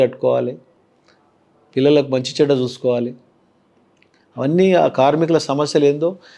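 Against a quiet background, a man with a Telangana accent talks in a fairly high pitch, his tone dark and mellow and his intonation fairly even. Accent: Telangana Telugu. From Telangana, Patancheru area. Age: 50s. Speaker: politician; politician interviewee. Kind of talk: interview. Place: studio. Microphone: lapel.

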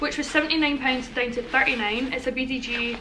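A woman speaks at a high pitch. Light background noise sits behind her. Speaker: vlogger. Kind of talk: casual vlog chat. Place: home room. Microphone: phone near.

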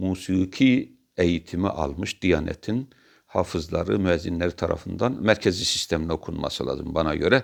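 Against a quiet background, a man with a very deep, low pitch speaks at a moderate pace with lively intonation. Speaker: religious commentator. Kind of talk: monologue talk. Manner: animated; halting.

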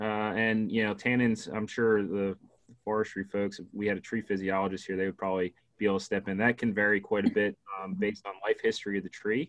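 A man with an American accent talks at a fairly quick pace against a quiet background. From Pennsylvania, US. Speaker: wildlife extension specialist; guest. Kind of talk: educational presentation. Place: home room. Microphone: video call.

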